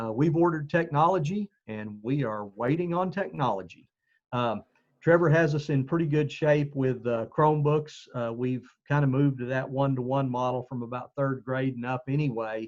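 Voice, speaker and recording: In a Southeastern Oklahoma accent, a man speaks at a moderate pace and medium pitch with ordinary pitch variation. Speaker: school administrator. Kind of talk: community meeting briefing. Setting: video call. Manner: halting with fillers.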